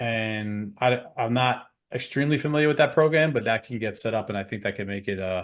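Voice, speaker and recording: A man in a New York accent, medium-pitched, at a fairly quick pace. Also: ordinary pitch variation. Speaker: program co-host. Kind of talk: webinar sales pitch.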